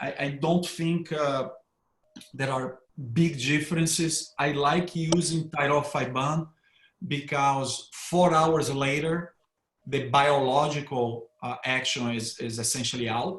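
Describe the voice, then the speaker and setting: A man's fairly high voice in a Brazilian accent, at a fairly slow pace with fairly even intonation and long, frequent pauses. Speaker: neurointerventionalist. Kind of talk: panel discussion. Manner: hesitant with repetitions.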